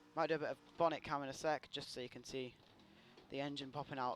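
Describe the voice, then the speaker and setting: A man with a British accent talks at a fairly quick pace and medium pitch. His intonation is monotone and flat. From Britain. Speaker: gaming streamer and drifter. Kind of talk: live gameplay commentary. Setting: live stream. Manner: casual, chatty.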